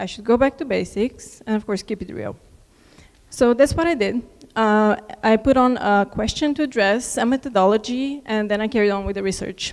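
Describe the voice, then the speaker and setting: A woman's fairly high, shaky, nervous voice at a fairly quick pace, with long, frequent pauses and ordinary pitch variation. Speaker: alumni keynote speaker. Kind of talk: keynote speech.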